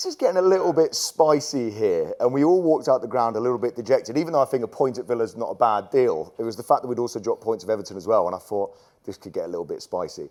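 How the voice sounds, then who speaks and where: Animated and lively in intonation, a man with a medium pitch talks at a very fast pace. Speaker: football fan panelist. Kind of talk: casual chat.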